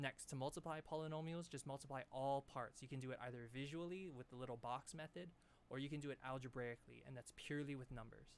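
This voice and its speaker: A man speaks at a very fast pace in a fairly high pitch, his intonation fairly even. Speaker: math teacher. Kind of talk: lecture.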